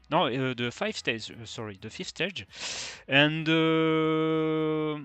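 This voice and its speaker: At a very slow pace, a man with a non-native accent speaks at a fairly high pitch with ordinary pitch variation. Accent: non-native, rusty English. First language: French. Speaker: fantasy cycling youtuber. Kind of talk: video review. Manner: halting, many fillers.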